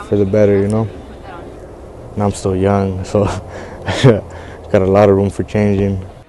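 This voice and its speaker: Over noticeable background noise, a man speaks at a fairly low pitch and a moderate pace. His intonation is monotone and flat. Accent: American. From Santa Barbara, California. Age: young. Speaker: former dropout, program participant. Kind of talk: interview. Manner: casual, halting.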